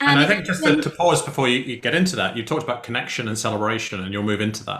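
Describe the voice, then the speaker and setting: A man speaks at a very fast pace with lively intonation and a medium pitch. Noticeable background noise runs under his voice. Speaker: podcast host. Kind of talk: podcast host talk.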